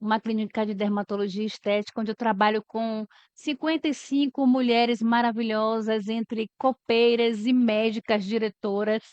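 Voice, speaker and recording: A woman with an unremarkable speaking voice and a fairly high pitch talks at a moderate pace with hardly any pauses, her intonation fairly even, in a dry, close sound with no echo. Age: 40s. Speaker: HR manager. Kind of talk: podcast interview.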